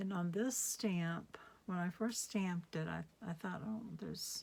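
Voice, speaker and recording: Somewhat breathy and dark, mellow in tone, the voice moves at a very slow pace. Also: woman. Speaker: craft demonstrator. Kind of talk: tutorial. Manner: sometimes gets very quiet; casual, hesitant with fillers.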